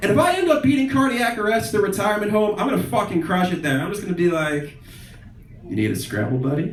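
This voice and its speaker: Over noticeable background noise and audible room echo, a high-pitched man with an American accent speaks very fast with very wide pitch swings. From Philadelphia suburbs, US. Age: 20s. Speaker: stand-up comedian. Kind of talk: stand-up.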